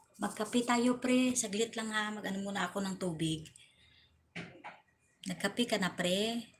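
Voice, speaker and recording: A woman with a fairly high pitch and a somewhat breathy voice speaks at a moderate pace, using ordinary pitch variation and long, frequent pauses. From Western Visayas, Philippines (Ilonggo). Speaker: vlogger. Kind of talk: casual livestream chat.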